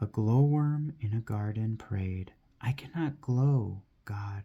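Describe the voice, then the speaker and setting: Soft-spoken and somewhat breathy, a man with a medium pitch and a dark, mellow tone talks at a very slow pace on a very clean recording with a silent background. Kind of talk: poetry reading.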